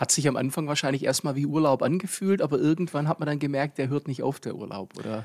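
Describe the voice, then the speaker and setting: At a very fast pace, a man with a fairly high pitch and ordinary pitch variation speaks on a very clean recording with a silent background. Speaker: podcast host. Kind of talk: casual interview. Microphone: new podcast equipment.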